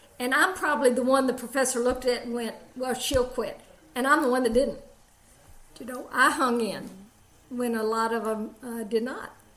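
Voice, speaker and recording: With an Alabama accent and a high pitch, a woman speaks with long, frequent pauses, amid noticeable background noise and audible room echo. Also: fairly even intonation, moderate pace. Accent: Alabama Southern, musical. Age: 70s. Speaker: jiu-jitsu practitioner. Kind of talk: interview.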